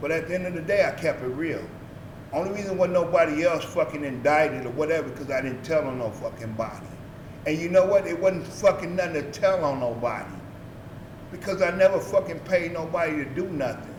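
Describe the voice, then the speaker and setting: Amid audible room echo and noticeable background noise, a man with a high pitch talks at a fairly quick pace with ordinary pitch variation. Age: 60s. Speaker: former street figure and youth sports coach. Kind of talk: interview. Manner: blunt and profane.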